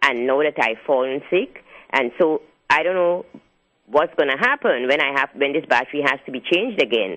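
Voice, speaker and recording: A woman with a very deep, low pitch, moderate pace and ordinary pitch variation. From outside the US. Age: 70s. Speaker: caller, retiree. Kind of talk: radio call-in.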